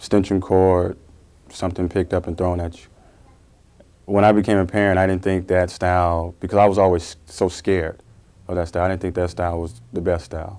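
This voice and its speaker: Very deep and low, a man's dark, mellow voice moves at a fairly quick pace in a flat monotone. The recording is very clean, with a silent background. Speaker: parent. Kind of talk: interview.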